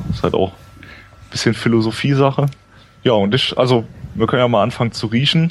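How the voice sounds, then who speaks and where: A medium-pitched man at a moderate pace, with ordinary pitch variation and noticeable background noise. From Mosel region, Germany. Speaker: wine enthusiast co-host. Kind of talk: casual chat. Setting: live stream with chat.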